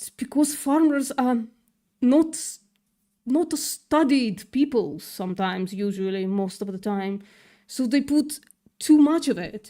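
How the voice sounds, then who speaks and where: On a very clean recording with a silent background, a woman speaks in a high pitch and a dark, mellow tone, her intonation lively. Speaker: vegan activist streamer. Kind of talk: livestream commentary and rebuttal. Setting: live stream. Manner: hesitant, many fillers.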